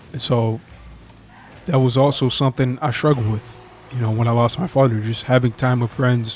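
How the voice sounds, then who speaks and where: A man's somewhat breathy voice, fairly even in intonation, with long, frequent pauses. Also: medium pitch for a man, fairly quick pace. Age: 20s. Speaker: vlogger telling his life story. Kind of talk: personal testimony vlog. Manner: halting, with stumbles and fillers.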